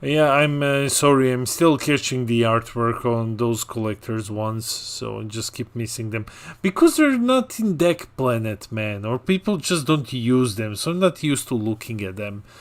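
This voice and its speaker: With a non-native accent, a man speaks at a moderate pace and medium pitch, with ordinary pitch variation and hardly any pauses. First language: not English. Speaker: card game commentator. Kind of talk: live commentary. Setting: livestream.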